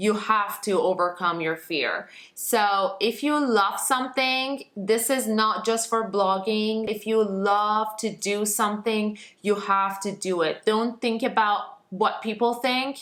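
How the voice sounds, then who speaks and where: Speaking with a non-native accent, this person moves along at a very slow pace. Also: woman, fairly high pitch for a woman, hardly any pauses. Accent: foreign. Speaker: lifestyle blogger and youtuber. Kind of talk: casual talk to camera. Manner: animated.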